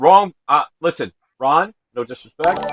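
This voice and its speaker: The recording of this man is dry and close, with no echo. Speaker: livestream host. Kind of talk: casual chat. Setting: live stream.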